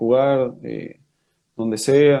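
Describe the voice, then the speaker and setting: Speaking very slowly with a Chilean accent, a man has a fairly high pitch and a dark, mellow tone. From Chile, Rengo (O'Higgins region). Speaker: professional footballer. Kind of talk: interview.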